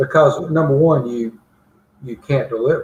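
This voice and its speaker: The speaker has an Alabama accent and a somewhat breathy voice. The pace is moderate, with ordinary pitch variation. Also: man. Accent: Southern US (Alabama). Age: 60s. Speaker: mayor. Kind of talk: interview.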